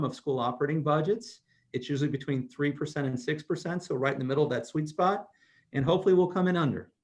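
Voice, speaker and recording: Fairly high, somewhat breathy male speech with ordinary pitch variation. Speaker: school district treasurer presenting budget. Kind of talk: budget presentation at board meeting. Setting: online video meeting, screen sharing. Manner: fast.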